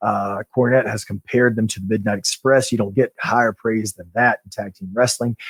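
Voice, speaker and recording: A man with a plain, everyday voice speaks at a moderate pace and medium pitch with fairly even intonation, the sound dry and close with no echo. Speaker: pro wrestler podcast host. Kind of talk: casual podcast chat.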